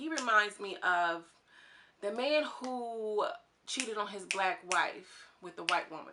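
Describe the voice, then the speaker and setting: This woman speaks at a medium pitch, in an animated tone with lively intonation. Noticeable background noise runs underneath. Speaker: YouTube TV commentator. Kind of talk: casual reality show commentary. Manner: fast.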